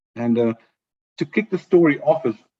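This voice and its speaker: A man with a South African accent at a very fast pace. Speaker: HR business partner, webinar panelist. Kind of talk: webinar presentation. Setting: video call. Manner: hesitant, many fillers.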